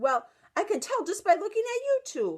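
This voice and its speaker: A put-on character voice from a woman, squeaky and extremely high-pitched, at a moderate pace. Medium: read story. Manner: matter-of-fact.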